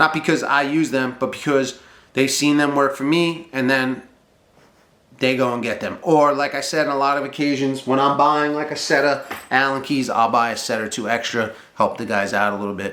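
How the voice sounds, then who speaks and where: With audible room echo, a man speaks in an animated, bright, sharp tone at a fairly high pitch with ordinary pitch variation. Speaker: boiler mechanic and trades business owner. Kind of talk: casual talk to camera. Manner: fast.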